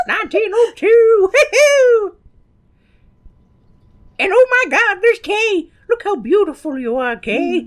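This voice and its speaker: An excited, put-on character voice rises to an extremely high pitch. It moves at a fairly slow pace with long, frequent pauses. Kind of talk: old-timey. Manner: excited, whooping.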